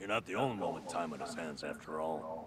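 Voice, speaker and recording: Over clear background noise, a man does a put-on character voice, very deep and low in pitch, at a fairly quick pace. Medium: video game.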